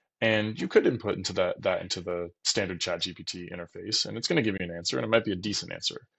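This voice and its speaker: The speech comes at a very fast pace with hardly any pauses. Its loudness rises and falls in big swings. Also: man. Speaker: mortgage loan officer. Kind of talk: tutorial. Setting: at home. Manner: soft-spoken, talking quietly.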